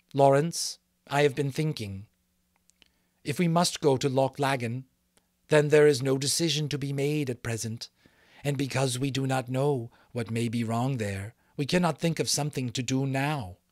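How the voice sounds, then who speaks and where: A man in a put-on character voice speaks at medium pitch and a moderate pace, with long, frequent pauses. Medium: read story. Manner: earnest, formal, without contractions.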